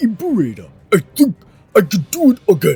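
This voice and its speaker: A put-on character voice at a fairly high pitch and a moderate pace. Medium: read story. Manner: earnest, simple.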